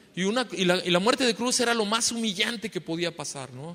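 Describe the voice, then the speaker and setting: The speaker is a man. He goes at a fairly quick pace. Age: 60s. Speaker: pastor. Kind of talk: sermon. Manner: repetitive filler questions.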